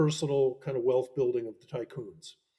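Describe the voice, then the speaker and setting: With an American accent, a man speaks at a fairly quick pace in a dark, mellow tone that is somewhat breathy. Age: 70s. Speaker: professor and author. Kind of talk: interview. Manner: halting, many self-corrections.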